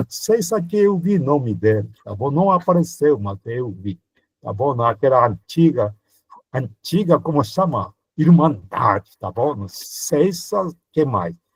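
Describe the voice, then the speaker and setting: At a very slow pace, a man with a fairly high, somewhat breathy voice makes very wide pitch swings. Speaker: priest teaching a Bible course. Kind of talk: lecture. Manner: animated.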